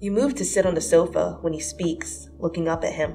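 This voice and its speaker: A woman speaks at a moderate pace over music playing in the background. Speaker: fanfiction reader. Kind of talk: second-person romance fanfic dramatic reading.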